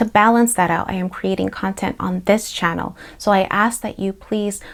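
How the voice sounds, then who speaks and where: A woman with a Spanish accent speaks at a moderate pace and medium pitch. Her intonation is fairly even, on a very clean recording with a silent background. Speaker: therapist, social worker. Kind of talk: personal introduction to camera. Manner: playful.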